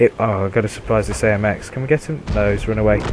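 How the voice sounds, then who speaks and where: There is noticeable background noise as a man with a British accent speaks with ordinary pitch variation. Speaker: gaming video creator. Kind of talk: gameplay commentary.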